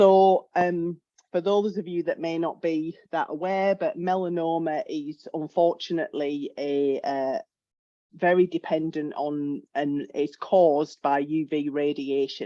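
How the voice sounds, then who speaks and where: A woman with a British accent speaks at a fairly low pitch. Her tone is dark and mellow, with ordinary pitch variation. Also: quiet background. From UK. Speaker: health economics researcher. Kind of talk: webinar presentation. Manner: hesitant, with fillers.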